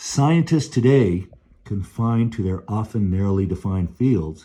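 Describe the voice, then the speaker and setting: A man speaks with lively intonation in a somewhat breathy voice with a dark, mellow tone. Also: quiet background. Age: 60s. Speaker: book commentator. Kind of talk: book review commentary.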